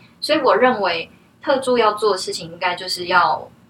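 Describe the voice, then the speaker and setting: With lively intonation, a woman talks at a moderate pace amid noticeable background noise. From Taiwan. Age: 30s. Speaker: herbal tea brand founder. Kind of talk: interview.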